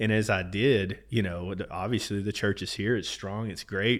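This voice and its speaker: A man with an American accent and a normal speaking voice talks at a fairly low pitch with fairly even intonation in a very clean recording with a silent background. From Texas. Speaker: business owner in oil and gas. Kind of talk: casual interview conversation.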